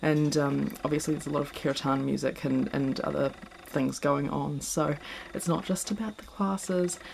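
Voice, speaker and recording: Against noticeable background noise, a woman with a New Zealand accent talks at a moderate pace with very even loudness. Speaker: yoga teacher. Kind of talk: casual vlog talk to camera. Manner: hesitant, many filler words.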